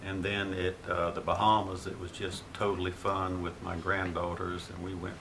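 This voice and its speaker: An American accent at a moderate pace, with audible room echo and noticeable background noise. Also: man. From Florida. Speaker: grandfather interviewed by grandchild. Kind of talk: family history interview.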